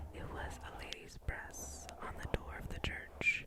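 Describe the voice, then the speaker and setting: Breathy whispering from a woman over noticeable background noise. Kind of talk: ASMR storytime about a honeymoon in Europe. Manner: breathy, whispered, relaxing.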